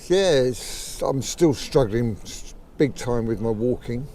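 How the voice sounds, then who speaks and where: The man talks at a very slow pace. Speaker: person with Parkinson's. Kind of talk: interview answer. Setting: outdoors. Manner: slow, halting.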